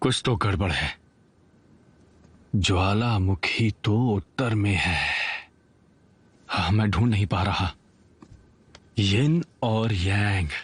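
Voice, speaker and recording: A man speaks in a put-on character voice with fairly low pitch. His loudness stays very even, broken by long, frequent pauses. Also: fairly slow pace, ordinary pitch variation. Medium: fan dub. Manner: scheming, gloating.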